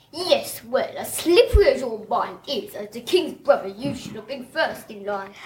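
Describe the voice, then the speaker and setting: A put-on character voice, female-sounding and high-pitched, at a moderate pace with hardly any pauses. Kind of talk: posh.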